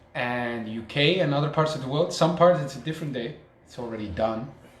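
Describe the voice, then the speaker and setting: A man in a Dutch accent, with ordinary pitch variation, noticeable background noise and audible room echo. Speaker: podcast co-host. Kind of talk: casual chat.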